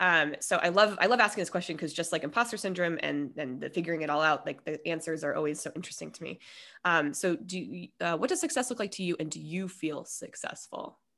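Very fast, lively speech with hardly any pauses in an American accent, on a very clean recording with a silent background. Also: woman, fairly low pitch for a woman. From US West, Colorado. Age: 30s. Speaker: podcast host. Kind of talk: casual interview chat. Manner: rambling, many fillers.

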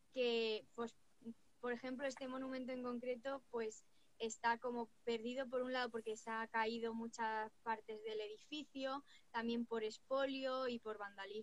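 Her voice is high-pitched and monotone, with flat intonation throughout. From Spain, Cuenca province. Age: 20s. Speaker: writer and digital marketer. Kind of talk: interview.

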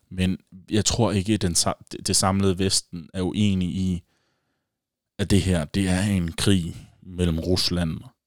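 In a very clean recording with a silent background and a dry, close sound with no echo, a man with a very deep, low pitch speaks at a very slow pace in a flat monotone. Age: 20s. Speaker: podcast host. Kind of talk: solo casual monologue. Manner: hesitant, many fillers.

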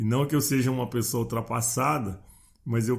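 In a somewhat breathy voice of medium pitch, a man speaks with fairly even intonation. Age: 60s. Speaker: podcast host, personal development coach. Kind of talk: motivational monologue.

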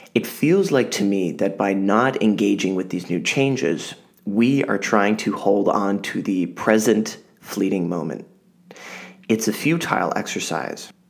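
A man with a fairly low pitch uses an ordinary speaking voice, keeping a fairly slow pace and ordinary pitch variation. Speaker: podcast host. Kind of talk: scripted monologue.

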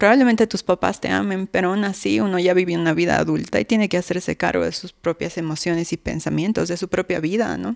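A woman talks very fast with lively intonation, vocal fry and a fairly low pitch, on a very clean recording with a silent background. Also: hardly any pauses, dry, close sound with no echo. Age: 20s. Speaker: abuse survivor. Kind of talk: testimony.

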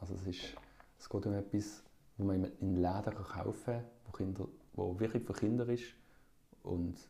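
With a Basel accent, a man with a fairly low pitch and a dark, mellow tone speaks in a somewhat breathy voice with fairly even intonation and long, frequent pauses. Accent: Swiss German (Basel). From Switzerland, Basel. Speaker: musician. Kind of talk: casual chat. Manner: halting.

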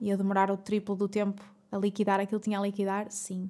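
With a European Portuguese accent, a woman talks at a fairly quick pace, her medium-pitched voice dark and mellow in tone. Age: 20s. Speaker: podcast host. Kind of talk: solo monologue. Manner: animated.

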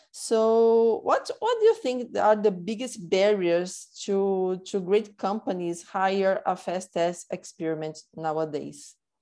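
A woman with a Portuguese accent speaks at a very slow pace with hardly any pauses, her medium pitch showing ordinary variation and her tone dark and mellow against a quiet background. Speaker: marketing director, podcast host. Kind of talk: casual interview. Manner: halting, repetitive.

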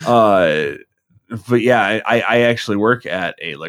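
A man's normal speaking voice, medium in pitch with ordinary pitch variation. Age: 20s. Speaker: liquor store worker. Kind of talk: casual chat.

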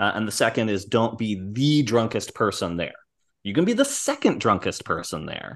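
With an ordinary speaking voice, a man talks at a moderate pace and medium pitch, with ordinary pitch variation over a quiet background. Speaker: podcast co-host. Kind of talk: casual chat.

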